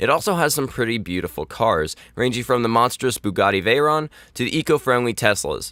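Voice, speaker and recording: At a moderate pace, a man with a medium pitch and a bright, sharp tone uses vocal fry and very wide pitch swings, in a very clean recording with a silent background and a dry, close sound with no echo. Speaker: gaming video creator. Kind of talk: scripted narration. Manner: reading aloud.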